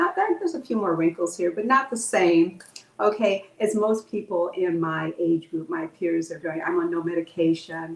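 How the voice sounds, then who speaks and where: A woman speaks with a fairly low pitch and ordinary pitch variation. Noticeable background noise can be heard. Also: moderate pace. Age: 70s. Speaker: holistic health practitioner. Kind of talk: interview.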